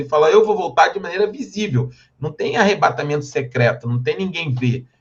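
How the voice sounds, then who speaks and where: A man is speaking. His voice is somewhat breathy. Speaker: Bible teacher. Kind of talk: lecture. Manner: fast.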